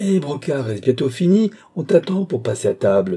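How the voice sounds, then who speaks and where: A shrill, put-on character voice from a man, with very wide pitch swings at a moderate pace. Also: fairly high pitch for a man. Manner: impatient call.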